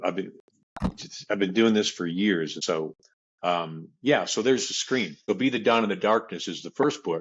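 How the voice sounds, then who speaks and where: A man with an unremarkable speaking voice talks at a moderate pace, using a fairly low pitch and ordinary pitch variation. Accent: American. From US Southwest, South Phoenix, Arizona. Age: 60s. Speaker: author and men's group leader. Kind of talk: interview.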